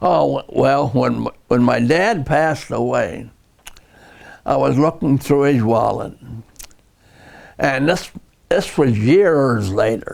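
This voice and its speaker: A man talks at a very slow pace. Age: 80s+. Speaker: retired railroad tower operator. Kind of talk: interview answer. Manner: slow, hesitant.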